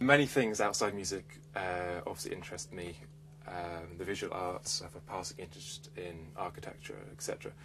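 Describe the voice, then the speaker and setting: Against noticeable background noise, a man with a very deep, low pitch speaks at a moderate pace with lively intonation and big swings in loudness. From England, Hertfordshire; England. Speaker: composer. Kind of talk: interview monologue. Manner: hesitant, with fillers. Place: studio.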